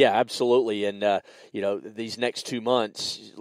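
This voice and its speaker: A man with a Southern US accent speaks at a moderate pace and medium pitch, his intonation monotone and flat, the sound dry and close with no echo. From US South, South Carolina. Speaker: podcast host. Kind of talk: casual podcast chat.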